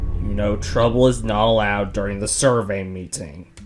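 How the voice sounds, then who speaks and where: A man's put-on character voice at a moderate pace, over faint music in the background. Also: fairly low pitch for a man. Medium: audio drama. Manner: calm.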